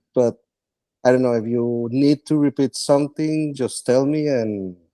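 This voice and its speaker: In a dry, close sound with no echo, a man with a non-native accent speaks in a dark, mellow tone. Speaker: homebuyer client. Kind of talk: testimony. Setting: live webinar. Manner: halting.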